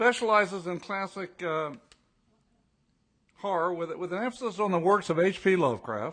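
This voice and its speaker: Over a quiet background, a man with a high-pitched voice talks at a moderate pace with ordinary pitch variation. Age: 80s+. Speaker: award presenter, veteran writer. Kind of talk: awards ceremony speech. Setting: stage with audience. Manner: halting, repeating words.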